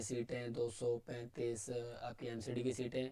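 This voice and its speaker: A man speaks at a very slow pace in a medium pitch. His dark, mellow tone stays monotone and flat. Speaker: online lecturer. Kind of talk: tutorial lecture.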